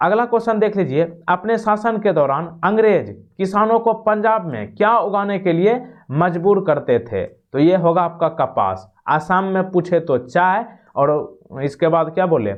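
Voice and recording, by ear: A man talks at a fairly slow pace with lively intonation. His pitch is high for a man. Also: few pauses.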